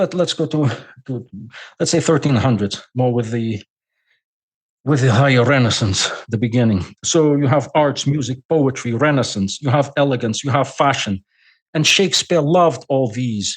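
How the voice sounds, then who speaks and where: Speaking with a Portuguese accent at a moderate pace, a man with a medium pitch leaves long, frequent pauses against a quiet background. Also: ordinary pitch variation. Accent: non-native English, Portuguese. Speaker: scholar guest. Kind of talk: podcast interview lecture. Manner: halting.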